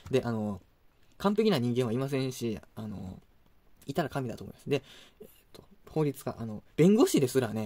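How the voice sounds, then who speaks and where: The voice has a dark, mellow tone, lively intonation and a fairly quick pace. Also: man. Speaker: YouTuber, food reviewer. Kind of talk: casual monologue. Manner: fast. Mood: opinionated, critical rant. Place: home room. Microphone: phone near.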